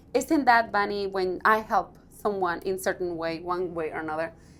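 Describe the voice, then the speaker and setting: With a strong non-native accent, a woman speaks at a moderate pace. Her intonation is lively. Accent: thick non-native English. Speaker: radio host. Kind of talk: interview.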